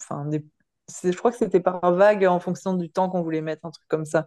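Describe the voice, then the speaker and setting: A woman speaks at a moderate pace in a fairly low pitch, her tone dark and mellow. Her intonation is fairly even, and the sound is dry and close with no echo. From Paris region, France. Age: 30s. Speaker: firefighter and amateur triathlete. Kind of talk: casual interview chat.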